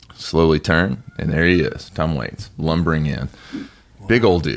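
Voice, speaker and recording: A man's very deep, low voice with vocal fry and an American accent. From US South. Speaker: podcast co-host. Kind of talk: casual chat.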